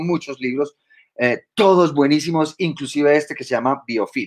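A normal speaking voice, moving at a moderate pace, shows ordinary pitch variation. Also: man, quiet background. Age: 50s. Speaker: biologist and university lecturer; university lecturer. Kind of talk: lecture. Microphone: webcam.

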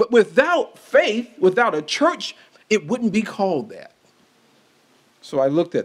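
A high-pitched man at a fairly slow pace, with big swings in loudness and long, frequent pauses. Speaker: city health commissioner; speaker. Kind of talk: public speech. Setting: stage with audience. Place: hall. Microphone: studio mic.

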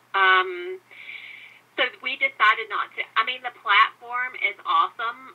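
A high-pitched woman's voice in a Southern US accent, with fairly even intonation. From US South. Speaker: podcast host. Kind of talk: interview conversation.

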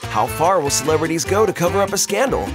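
A man's voice sounds dry, with no echo. Music is clearly heard in the background. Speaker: voice actor. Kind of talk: documentary narration. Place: studio.

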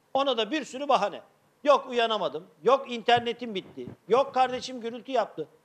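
At a moderate pace, a man is talking. His pitch is extremely high. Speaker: actor playing a teacher. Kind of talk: theatrical monologue to students on a video call. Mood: gently scolding, encouraging. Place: stage.

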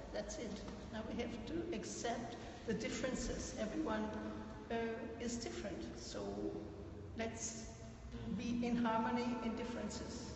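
A woman's fairly high voice at a moderate pace, with fairly even intonation and long, frequent pauses, amid noticeable background noise and audible room echo. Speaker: audience participant. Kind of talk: group discussion. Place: hall. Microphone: phone near.

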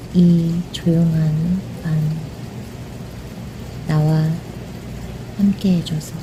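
A woman with a fairly low pitch speaks at a very slow pace in a monotone, flat way, with long, frequent pauses. Noticeable background noise runs underneath. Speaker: channel owner, narrator. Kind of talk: soothing rain ASMR narration. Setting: recorded narration over real rain sounds. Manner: soft, gentle, intimate.

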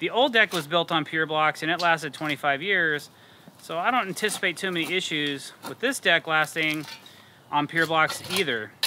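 A man at a moderate pace with ordinary pitch variation, dry sound with no echo, and light background noise. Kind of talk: tutorial. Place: garden. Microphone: lapel.

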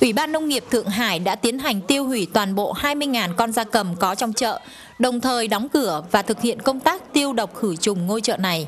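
Lively intonation marks this woman's fairly high voice at a moderate pace. Noticeable background noise sits behind her. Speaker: foreign correspondent. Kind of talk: news report.

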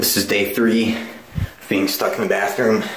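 Audible room echo hangs around the voice. A man delivers his words very slowly. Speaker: comedy vlogger. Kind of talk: comedic skit monologue. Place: bathroom. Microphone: phone near.

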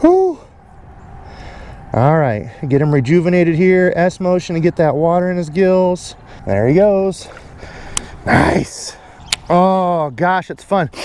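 A man's high voice at a very slow pace, with long, frequent pauses, ordinary pitch variation, a dry sound with no echo and light background noise. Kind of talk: casual vlog chat and fishing tips. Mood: excited, happy. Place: waterside. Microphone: phone near.

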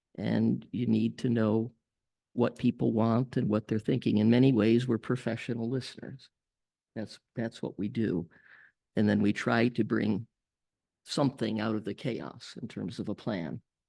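Against a quiet background, a man with a medium pitch, vocal fry and a dark, mellow tone speaks at a moderate pace with fairly even intonation in a dry, close sound with no echo. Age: 70s. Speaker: school psychologist, board candidate. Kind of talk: board meeting discussion.

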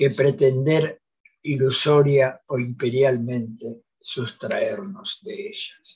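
A man's somewhat breathy voice, fairly high in pitch, at a very slow pace with ordinary pitch variation over a quiet background. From Santa Fe, Argentina. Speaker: panelist. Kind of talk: academic talk. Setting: video call. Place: home room. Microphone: video call.

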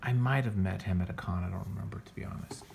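In an unremarkable speaking voice, a man talks at a fairly quick pace with ordinary pitch variation. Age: 40s. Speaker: comics podcast host and artist; comics podcast host. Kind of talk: casual review monologue. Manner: casual, filler-heavy. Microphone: phone near.

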